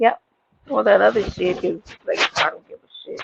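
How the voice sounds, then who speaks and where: In a New York accent, a woman talks at a moderate pace, her sound dry and close with no echo. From New York, Brooklyn (East Flatbush). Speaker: livestreamer. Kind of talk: casual chat. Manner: animated; abrasive.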